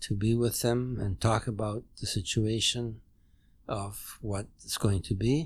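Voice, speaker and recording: At a fairly slow pace, a man speaks with a somewhat breathy voice, a medium pitch, and fairly even intonation. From Poland. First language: German. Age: 90s. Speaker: Holocaust survivor. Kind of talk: interview testimony. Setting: at a dining-room table at home. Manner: halting.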